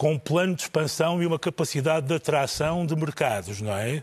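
The man's voice is an ordinary speaking voice. It sits fairly high, and the pitch moves in an ordinary way. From northern Portugal. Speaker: TV journalist. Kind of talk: panel discussion.

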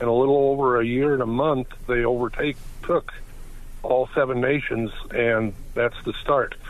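Moderate pace, very even loudness and monotone, flat intonation. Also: man, medium pitch for a man. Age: 60s. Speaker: caller. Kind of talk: call-in. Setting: phone call.

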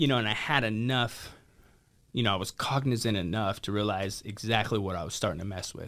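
With an American accent and an ordinary speaking voice, the speaker moves at a fairly quick pace with ordinary pitch variation. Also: man, fairly low pitch for a man. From Idaho. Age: 30s. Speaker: recovery center founder. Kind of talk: interview.

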